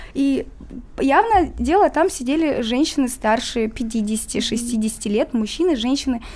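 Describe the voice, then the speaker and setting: This woman's voice sits high in pitch, with lively intonation. She talks at a very slow pace. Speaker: musician. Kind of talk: interview.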